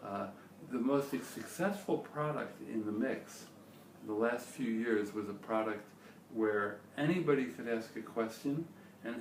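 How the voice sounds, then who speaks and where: Noticeable background noise and audible room echo surround the recording. A man speaks with ordinary pitch variation. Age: 60s. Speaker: startup founder and CEO. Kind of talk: interview.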